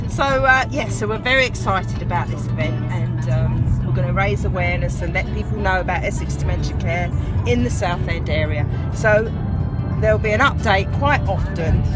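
Loud music plays in the background while the voice, dry with no echo, moves at a moderate pace. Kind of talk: casual vlog chat. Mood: cheerful, excited. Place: car. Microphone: phone near.

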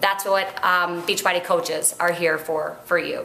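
A woman talks at a moderate speed, and room echo is audible. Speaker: fitness coach. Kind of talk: casual vlog chat. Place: home room. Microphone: webcam.

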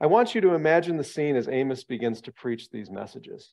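A man's speech moves at a moderate pace, with quiet in the background. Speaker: bible study lecturer. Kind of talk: lecture. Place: meeting room. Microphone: headset.

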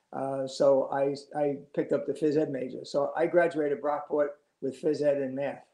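A man's fairly high, dark, mellow voice at a moderate pace, monotone and flat, with audible room echo against a quiet background. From New York City (Astoria, Queens), then Long Island; New York. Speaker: retired high school wrestling coach. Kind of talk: oral history interview. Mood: warm, reflective. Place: home room. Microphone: video call.

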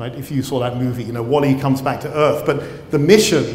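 Speaking at a fairly quick pace with a British accent, a man is heard with audible room echo. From Britain. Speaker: professor and cell biologist. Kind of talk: lecture. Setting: stage with audience. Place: hall. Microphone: lapel.

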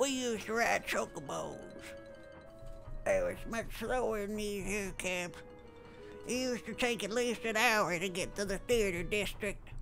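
Using a put-on character voice with a fairly high pitch, the speaker moves at a moderate pace with long, frequent pauses while clear music plays in the background. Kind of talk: reminiscing about the past.

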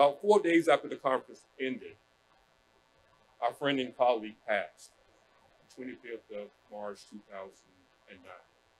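A man talks at a moderate pace. There is light background noise behind him. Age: 60s. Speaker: professor. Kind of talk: panel remarks. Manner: hesitant, many fillers. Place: hall. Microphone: podium.

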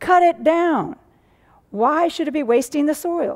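A woman speaks at a fairly slow pace, and the background is quiet. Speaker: pastor. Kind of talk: scripture reading in sermon. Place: church.

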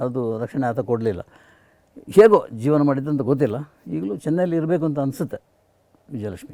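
Lively in intonation, a man talks in a dark, mellow tone at a fairly high pitch. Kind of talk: casual interview chat.

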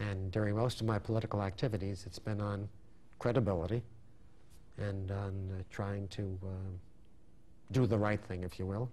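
A man with an American accent speaks at a fairly low pitch in a dark, mellow tone. His delivery is flat and monotone at a moderate pace, broken by long, frequent pauses. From Brooklyn, New York; New York. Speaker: endodontist and dental professor; dental professor. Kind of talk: interview. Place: studio. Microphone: lapel.

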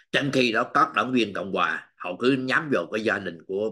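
A bright, sharp tone with ordinary pitch variation against a quiet background. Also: man. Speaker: political news commentator. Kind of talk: news commentary monologue. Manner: halting, with frequent fillers. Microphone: webcam.

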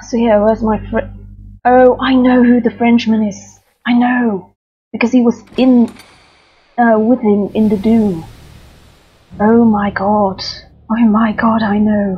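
A woman speaks at a fairly slow pace with long, frequent pauses. Her tone is dark and mellow, somewhat breathy, with monotone, flat intonation. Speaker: gamer streamer. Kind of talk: casual gameplay commentary.

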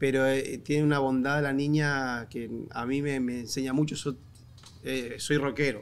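A man with an Argentine accent, at a fairly slow pace, in a monotone, flat intonation. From Argentina. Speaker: comedian; podcast guest, comedian. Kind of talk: casual chat. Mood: reflective, tender. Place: studio. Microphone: studio mic.

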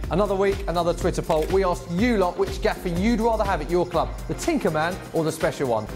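Over clear music in the background, a man with a high pitch speaks in an upbeat tone at a very fast pace, with hardly any pauses and ordinary pitch variation. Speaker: football TV presenter. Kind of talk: TV sports show presenting.

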